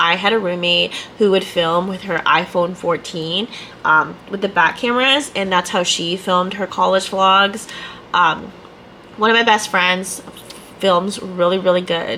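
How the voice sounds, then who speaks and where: A woman at a medium pitch speaks fairly slowly over noticeable background noise. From Canada. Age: 20s. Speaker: ER nurse. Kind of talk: casual talk to camera.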